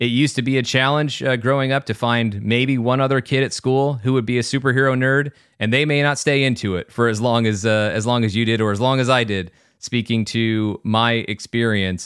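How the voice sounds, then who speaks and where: At a fairly quick pace, a man speaks at a medium pitch with fairly even intonation and very even loudness. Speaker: podcast host. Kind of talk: casual chat. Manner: level-headed, even; clear, measured.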